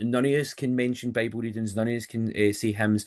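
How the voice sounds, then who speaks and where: Talking at a very fast pace, a man with a Lanarkshire accent keeps a monotone, flat intonation. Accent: Scottish (Lanarkshire). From Scotland, Motherwell. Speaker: funeral and wedding celebrant. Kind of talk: podcast interview. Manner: loud; direct.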